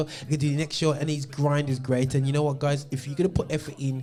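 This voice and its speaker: A man talks at a very fast pace in a fairly high pitch. His intonation is monotone and flat, and there is noticeable background noise. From Birmingham, England. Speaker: gospel music show host and DJ. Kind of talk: casual chat.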